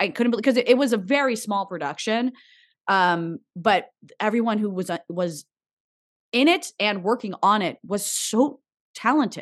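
A woman with an American accent speaks in a plain, everyday voice at a fairly high pitch, with lively intonation. Her pace is moderate and the background is quiet. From New Jersey. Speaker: actress and TV host. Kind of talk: interview conversation.

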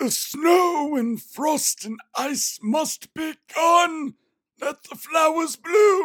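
A put-on character voice drawls at a very slow pace in a high pitch. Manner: dramatic, awkward.

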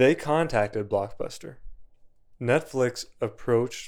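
On a very clean recording with a silent background, a man uses an ordinary speaking voice, speaking fairly slowly with ordinary pitch variation. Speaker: podcast host. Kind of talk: casual chat.

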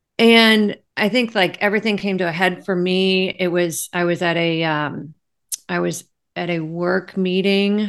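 Over a quiet background, a woman with a plain, everyday voice speaks at medium pitch, a fairly slow pace and fairly even intonation. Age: 50s. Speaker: life coach. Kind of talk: interview.

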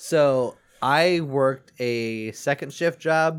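A man talks in a plain, everyday voice at a medium pitch with ordinary pitch variation. The recording is very clean, with a silent background. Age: 20s. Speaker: comedy podcast co-host. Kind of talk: casual chat.

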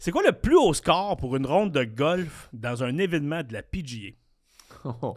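A man speaks with a Quebec accent. His intonation is lively. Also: very clean recording, silent background. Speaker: podcast host. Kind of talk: casual chat; quiz hosting. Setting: studio.

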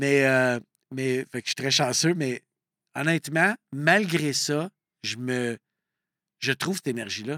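A man talks at a very slow pace with long, frequent pauses, a fairly high pitch, ordinary pitch variation and a bright, sharp tone. The recording is very clean and dry, with a close sound, no echo and a silent background. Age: 50s. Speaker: coach and entrepreneur. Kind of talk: casual interview conversation.

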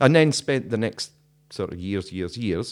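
Speaking with a Scottish accent, a man is heard on a very clean recording with a silent background. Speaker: podcast host and former radio presenter. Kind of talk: casual chat. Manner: laughs often, easygoing.

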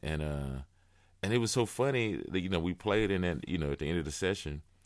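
On a very clean recording with a silent background, a man with an American accent talks at a fairly quick pace in a very deep, low pitch with lively intonation. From Texas, Houston. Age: 30s. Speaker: jazz drummer. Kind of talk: casual chat.

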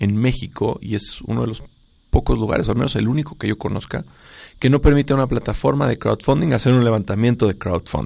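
On a very clean recording with a silent background, a man speaks fairly quickly at a medium pitch with ordinary pitch variation. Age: 30s. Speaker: startup founder and CEO. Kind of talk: radio interview. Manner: energetic.

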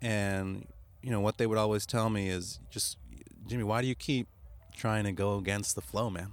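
Speaking at a moderate pace with long, frequent pauses, a man uses a fairly low voice in a very clean recording with a silent background. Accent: American. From United States. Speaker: creative entrepreneur. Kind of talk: casual interview. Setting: parked van.

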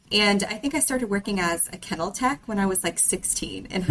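A woman talks at a fairly quick pace. She has a normal speaking voice with ordinary pitch variation. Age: 20s. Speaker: veterinary technician. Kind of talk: casual chat.

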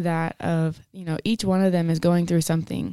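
At a fairly quick pace, a woman with an American accent speaks in a fairly low pitch with a dark, mellow tone. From West Texas (Denver City, near Lubbock). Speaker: college basketball player. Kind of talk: testimony.

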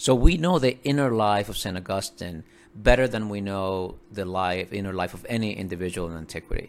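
A man with a Spanish accent speaks at a fairly quick pace and a fairly low pitch, with ordinary pitch variation and big swings in loudness. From Dominican Republic, rural mountain town. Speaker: professor and author. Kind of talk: interview.

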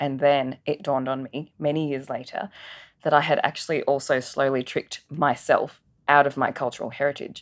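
This woman speaks in a very deep, low pitch with monotone, flat intonation at a moderate pace. The recording is very clean, with a silent background. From Adelaide, Australia (migrated from Singapore as child). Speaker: media agency professional. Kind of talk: interview conversation.

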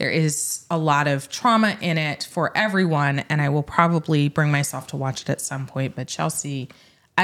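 A woman speaks at a moderate pace in a very deep, low pitch with ordinary pitch variation, and noticeable background noise can be heard. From Middle Tennessee. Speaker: lawyer and podcast host. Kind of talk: casual legal discussion. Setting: studio at a bar table, also on video.

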